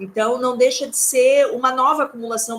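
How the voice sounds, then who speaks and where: A woman at a moderate pace, her intonation fairly even, over noticeable background noise. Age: 40s. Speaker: lecturer. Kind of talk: lecture.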